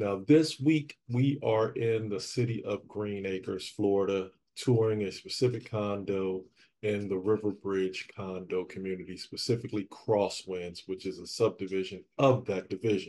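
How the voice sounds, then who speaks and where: A man with a normal speaking voice talks at a moderate pace in a fairly low pitch with ordinary pitch variation, over light background noise. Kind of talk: casual vlog chat. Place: empty room.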